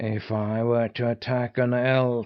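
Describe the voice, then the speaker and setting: In a put-on character voice, a man speaks fairly slowly at a medium pitch, flat and monotone, with hissing on the recording. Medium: read story.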